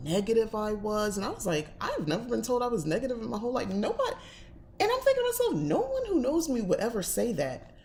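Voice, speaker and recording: Amid noticeable background noise, the speech runs at a very fast pace in an American accent. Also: woman. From New Jersey, US Northeast. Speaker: witchcraft and tarot channel host. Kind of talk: casual livestream chat. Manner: direct, blunt.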